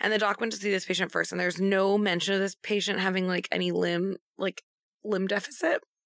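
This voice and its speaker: Vocal fry runs through speech at a very fast pace. The sound is dry and close with no echo. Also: woman. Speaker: nurse. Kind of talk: casual chat.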